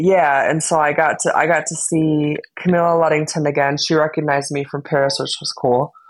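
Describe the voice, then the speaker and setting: Speaking in a very deep, low pitch, a woman with an American accent keeps her intonation monotone and flat. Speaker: podcast host. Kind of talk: casual chat.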